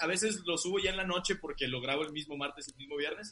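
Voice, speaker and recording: A man's raised, projected voice at a fairly quick pace, with ordinary pitch variation and noticeable background noise. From Mexico, Monterrey. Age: 30s. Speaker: comedian and podcaster. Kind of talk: casual chat.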